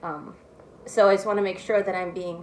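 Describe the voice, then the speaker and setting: A soft-spoken woman with an American accent talks at a fairly quick pace and a medium pitch. Noticeable background noise sits behind her. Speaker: political commentator. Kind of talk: casual talk.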